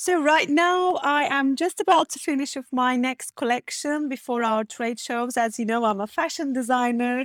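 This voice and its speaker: A woman with a Turkish accent talks at a moderate pace on a very clean recording with a silent background. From Turkey, small seaside town. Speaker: fashion designer and business coach. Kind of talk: interview.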